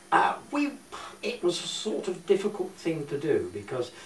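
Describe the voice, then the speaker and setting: A man is heard over noticeable background noise. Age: 70s. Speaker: war evacuee recalling childhood. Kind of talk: interview. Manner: halting.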